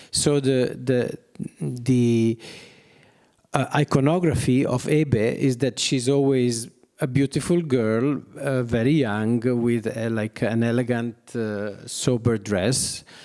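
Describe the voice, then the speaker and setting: The voice has a dark, mellow tone and an Italian accent, with ordinary pitch variation. It moves at a very slow pace. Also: man, medium pitch for a man. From Italy, Milan. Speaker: artist. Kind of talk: public talk. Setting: gallery with audience. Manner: halting.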